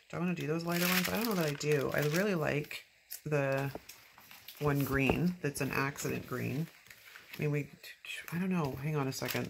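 Quiet and very deep in pitch, a woman speaks fairly quickly with ordinary pitch variation and long, frequent pauses, over noticeable background noise. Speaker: planner decorating video creator. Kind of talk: casual crafting commentary.

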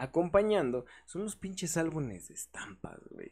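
Recorded very cleanly against a silent background, the voice has a Mexican accent, a dark, mellow tone and very wide pitch swings. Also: man. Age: 20s. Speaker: podcast host and community manager. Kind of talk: casual chat.

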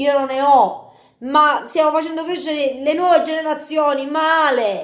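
Extremely high in pitch, a woman speaks in an animated tone. Audible room echo is present, though the background is quiet. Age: 30s. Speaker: youtuber. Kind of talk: video monologue. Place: kitchen. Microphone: phone near.

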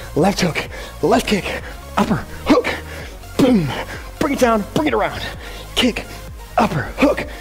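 A man's fairly slow speech broken by long, frequent pauses, with faint music in the background. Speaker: fitness instructor. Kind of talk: workout coaching cues. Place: gym.

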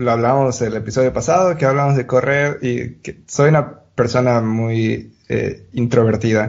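An unremarkable speaking voice moves at a fairly slow pace. There are hardly any pauses. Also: man, medium pitch for a man, fairly even intonation. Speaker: podcast host and producer. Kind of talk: casual chat.

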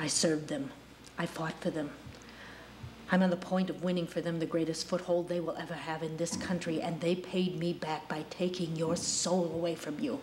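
Light background noise accompanies a woman speaking at a moderate pace. Her intonation stays fairly even. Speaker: actor performing monologue. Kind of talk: dramatic acted monologue. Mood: intense, menacing, bitter. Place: studio.

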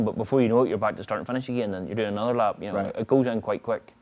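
A man speaks with a strong Northern Irish accent and fairly even intonation. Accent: thick Northern Irish. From Northern Ireland. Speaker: motorcycle road racer. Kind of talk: interview answer. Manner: casual, nonchalant. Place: garage.

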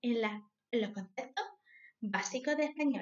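A woman speaks in a high pitch at a moderate pace. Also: quiet background. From southern Spain, Granada; southern Spain. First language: Spanish. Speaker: language teacher. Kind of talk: self-introduction. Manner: halting. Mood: friendly, smiling. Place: home room. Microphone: webcam.

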